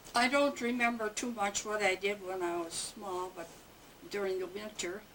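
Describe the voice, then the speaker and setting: Over noticeable background noise, a woman talks at a moderate pace and medium pitch with ordinary pitch variation. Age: 80s+. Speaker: family elder interviewed about her life. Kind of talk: oral history interview. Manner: halting, with many fillers.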